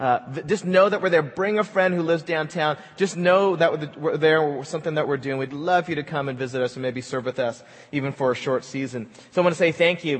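A man's pitch runs fairly high with ordinary pitch variation as he talks at a fairly quick pace in a normal speaking voice. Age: 40s. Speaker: pastor. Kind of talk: sermon.

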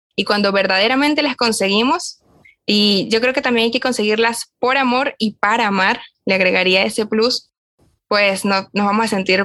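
With ordinary pitch variation, a woman speaks in a medium pitch. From Venezuela. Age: young. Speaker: podcast co-host, young lay Augustinian. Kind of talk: casual chat.

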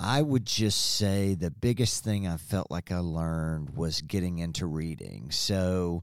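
The recording is very clean, with a silent background. A man with a very deep, low pitch speaks at a fairly slow pace with ordinary pitch variation. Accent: Arkansas. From Springdale, Arkansas, US South. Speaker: former student, business owner. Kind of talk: interview. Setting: at the school.

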